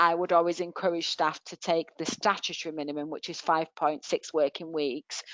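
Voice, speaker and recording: A woman with a Mancunian accent speaks at a fairly low pitch. Her intonation is monotone and flat, and the sound is dry and close with no echo. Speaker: HR and employment law expert. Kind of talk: webinar Q&A answers.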